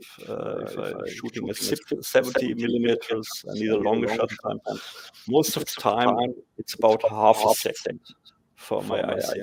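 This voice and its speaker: With a German accent, a man talks at a fairly slow pace. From Germany. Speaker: photographer and software developer. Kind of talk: casual interview. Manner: halting, searching for words.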